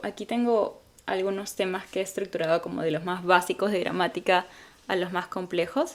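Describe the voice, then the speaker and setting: A woman speaks at a moderate pace and a medium pitch. She has a plain, everyday voice. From Peru. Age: 20s. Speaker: English teacher and language learner. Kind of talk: casual talk to camera. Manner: upbeat, friendly.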